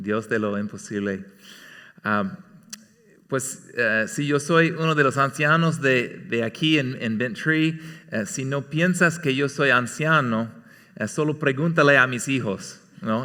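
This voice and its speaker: A man with an American accent talks at a very slow pace, his tone bright and sharp and his intonation lively. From California, US. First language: English (speaking Spanish). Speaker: church elder preaching. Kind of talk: sermon. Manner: halting, many fillers.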